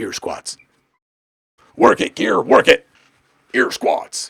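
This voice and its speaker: A man puts on a raspy character voice at an extremely high pitch. He speaks very slowly. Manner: gruff, pumped-up.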